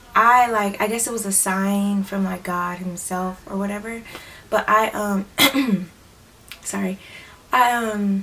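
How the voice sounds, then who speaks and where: Noticeable background noise runs under the voice. The speaker uses fairly even intonation at a very slow pace. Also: woman, medium pitch for a woman. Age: 20s. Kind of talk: casual talk to camera. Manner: hesitant, rambling.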